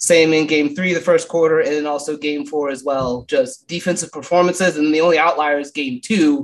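A man with a fairly high pitch and a plain, everyday voice talks at a fairly quick pace with ordinary pitch variation. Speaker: basketball podcaster. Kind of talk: casual chat.

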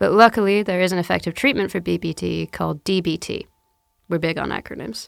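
Speaking at a fairly quick pace, a woman has a fairly low pitch. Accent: American. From South London. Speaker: comedian. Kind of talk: scripted monologue.

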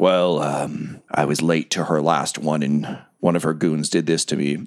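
A man puts on a character voice that is raspy, monotone and flat. It sits at a very deep, low pitch and moves at a moderate pace. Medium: actual play. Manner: chatty, wry.

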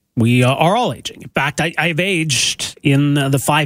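A man with a Canadian accent talks in an ordinary speaking voice. His pitch is fairly high, with ordinary pitch variation. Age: 40s. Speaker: radio host. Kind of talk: interview. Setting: studio.

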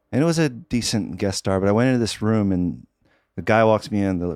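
Here is an ordinary speaking voice from a man at a fairly low pitch. He talks at a fairly quick pace with lively intonation. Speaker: filmmaker and husband of a cancer survivor. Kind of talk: casual interview chat.

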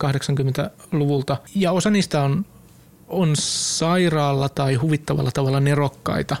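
A man's ordinary speaking voice, fairly high in pitch, with fairly even intonation. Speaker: podcast co-host. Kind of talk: casual chat.

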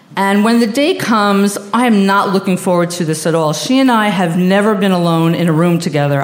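Over noticeable background noise and audible room echo, a woman with a New York accent talks at a fairly quick pace with lively intonation. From Long Island, New York. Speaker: storyteller. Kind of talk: live storytelling.

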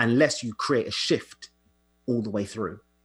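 In a very clean recording with a silent background, a man talks at a medium pitch, his voice somewhat breathy. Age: 30s. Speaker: coach. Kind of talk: casual chat.

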